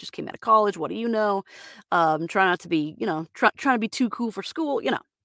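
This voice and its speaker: A woman with an American accent uses a normal speaking voice at medium pitch with lively intonation. The recording is very clean with a silent background, dry and close with no echo. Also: big swings in loudness. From Florida, US. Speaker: voice actor. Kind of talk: solo podcast monologue, casual. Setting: home studio booth, sound-deadened. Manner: casual with frequent fillers.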